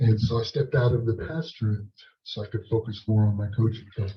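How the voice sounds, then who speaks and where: Medium in pitch, this man's voice has a dark, mellow tone. It is somewhat breathy. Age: 60s. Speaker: leadership coach and former pastor, panelist. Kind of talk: panel discussion answer. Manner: halting, many repeated words.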